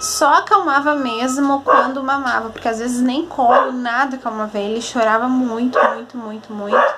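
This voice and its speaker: With music in the background and audible room echo, a soft-spoken woman talks at a high pitch. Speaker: vlogger, mother. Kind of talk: casual vlog.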